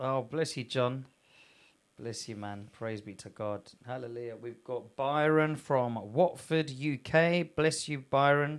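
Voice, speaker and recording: Using a normal speaking voice, a man with a medium pitch talks at a fairly slow pace, with ordinary pitch variation and big swings in loudness. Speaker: church pastor hosting live broadcast. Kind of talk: live-streamed ministry broadcast, interview. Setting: live online broadcast.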